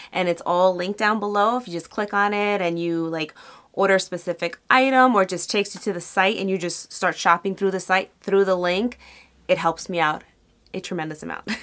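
A woman talks fairly quickly, her pitch varying in an ordinary way, against quiet surroundings. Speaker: beauty vlogger. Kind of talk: casual vlog chat. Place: home room.

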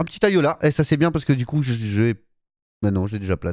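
A man speaks at a moderate pace in an enthusiastic tone, his pitch swinging very widely, with a dry, echo-free sound over a quiet background. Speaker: gaming YouTuber. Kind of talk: casual live-style gameplay commentary. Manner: casual, chatty, enthusiastic. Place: home room. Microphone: studio mic.

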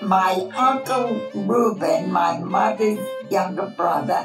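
A woman with an American accent speaks over clear music in the background. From Brooklyn, New York. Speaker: Holocaust-era eyewitness. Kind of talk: documentary interview answer. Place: home room.

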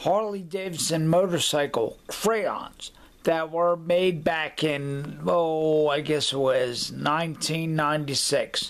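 A man's fairly high voice at a very slow pace, with ordinary pitch variation and very even loudness. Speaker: collector showing an item. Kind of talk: casual talk to camera. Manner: halting, with pauses and fillers. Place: home room. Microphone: webcam.

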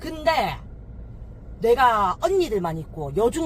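A woman speaks with a Busan accent. Her pitch swings very widely. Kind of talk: casual conversation with mother.

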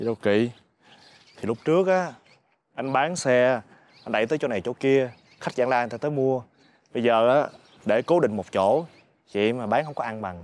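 A man talks at a moderate pace with ordinary pitch variation and long, frequent pauses. The sound is dry, with no echo. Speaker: food stall vendor character. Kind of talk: scripted drama dialogue. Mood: worried, explaining poor business. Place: garden.

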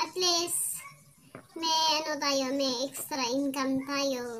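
Over light background noise, a woman speaks very slowly in a high voice with fairly even intonation. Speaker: home food seller. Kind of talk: casual vlog chat. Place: home room. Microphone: phone near.

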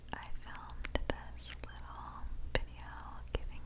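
Very slowly, a woman whispers. Behind her, background noise is noticeable. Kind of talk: ASMR voice-over. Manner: soft-spoken.

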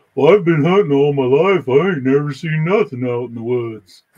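Putting on a character voice, a man speaks at a moderate pace in a fairly high pitch. His loudness swings widely. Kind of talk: informal, ungrammatical. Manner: dismissive, skeptical.

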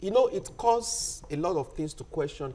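At a moderate pace, a man talks. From Nigeria, Ondo State. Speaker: journalist. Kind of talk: panel discussion. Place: studio.

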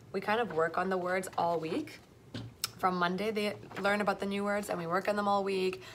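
A woman with a Canadian accent, fairly quick and monotone with flat intonation, over light background noise. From Toronto, Canada. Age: 20s. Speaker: primary school French teacher. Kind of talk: casual vlog. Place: classroom. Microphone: phone near.

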